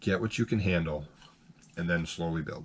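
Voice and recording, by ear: A man with a slightly husky edge speaks at a low pitch with fairly even intonation.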